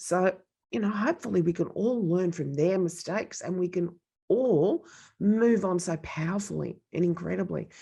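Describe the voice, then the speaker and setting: A woman with vocal fry speaks in an animated tone at a moderate pace. Her pitch variation is ordinary, and the background is quiet. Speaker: podcast host. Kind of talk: casual chat.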